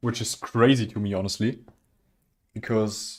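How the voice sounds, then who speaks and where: A man with a German accent speaks in a monotone, flat intonation. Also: very clean recording, silent background. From southwest Germany. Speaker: streamer building Lego. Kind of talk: casual chat. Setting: live stream. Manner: halting.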